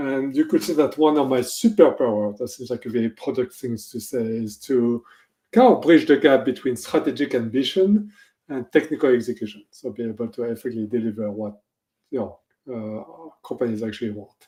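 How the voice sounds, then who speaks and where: A man with a French accent, dark, mellow tone and medium pitch, ordinary pitch variation, big swings in loudness and a fairly quick pace, in a very clean recording with a silent background. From France. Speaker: technology executive. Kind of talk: interview.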